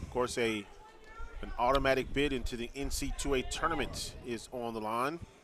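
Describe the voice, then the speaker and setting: A man's medium-pitched voice in an American accent, moderate pace and fairly even intonation, amid noticeable background noise. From US North. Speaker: play-by-play announcer. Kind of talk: live commentary.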